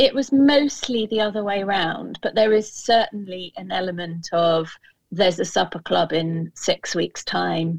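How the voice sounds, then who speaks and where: A woman with a British accent speaks at a medium pitch. Her intonation is lively and her pace fairly slow. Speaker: food writer and kitchen gardener. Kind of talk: casual chat.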